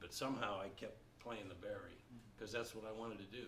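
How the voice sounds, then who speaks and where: The voice carries audible room echo along with noticeable background noise. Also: man. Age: 60s. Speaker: jazz baritone saxophonist and music teacher. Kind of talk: Q&A talk to students. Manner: conversational.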